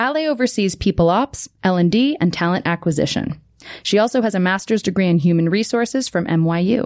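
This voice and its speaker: Against a quiet background, a woman with a normal speaking voice talks at a medium pitch and moderate pace, with lively intonation and very even loudness. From Canada. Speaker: podcast host, marketing executive. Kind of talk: scripted narration; casual chat.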